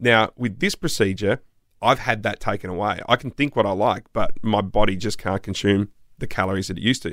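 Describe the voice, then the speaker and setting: Here a man talks in an Australian accent. The recording is very clean, with a silent background. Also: fairly low pitch for a man, ordinary pitch variation, fairly quick pace. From South Australia. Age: 40s. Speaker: podcast host. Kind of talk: casual chat.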